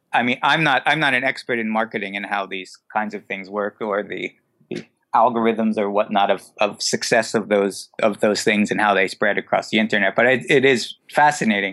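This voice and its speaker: Here a man with an American accent talks at a moderate pace. His pitch is fairly low and his tone bright and sharp. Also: ordinary pitch variation. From New Jersey. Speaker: photographer and director. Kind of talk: casual interview chat.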